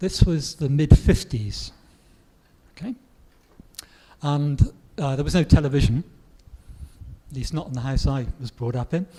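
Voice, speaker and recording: Over noticeable background noise, the speaker goes at a moderate pace with long, frequent pauses, big swings in loudness and ordinary pitch variation. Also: man, fairly high pitch for a man. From southwest England. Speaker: grammar book author and English teacher. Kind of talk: Q&A interview. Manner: hesitant, with fillers and repetitions.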